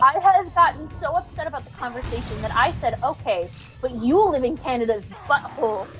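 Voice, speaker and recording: Music plays in the background as the speech moves at a fairly quick pace. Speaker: streamer. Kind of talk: casual chat.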